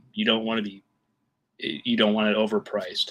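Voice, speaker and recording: Bright and sharp in tone, a man speaks at a medium pitch and fairly quick pace with an American accent. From US Midwest, Iowa. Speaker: self-published author. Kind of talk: casual live chat. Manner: halting, many fillers.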